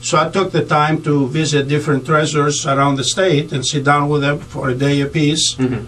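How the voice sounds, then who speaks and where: Speaking fairly quickly in a Greek accent, a man keeps a flat, monotone delivery at a fairly high pitch, with very even loudness and hardly any pauses. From Greece. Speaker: county treasurer and political candidate; candidate. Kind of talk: radio interview. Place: studio.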